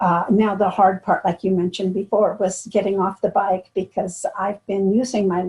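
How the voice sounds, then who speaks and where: A woman's somewhat breathy, medium-pitched voice, fairly slow and with fairly even intonation. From US. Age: 70s. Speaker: triathlete. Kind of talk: interview. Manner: halting.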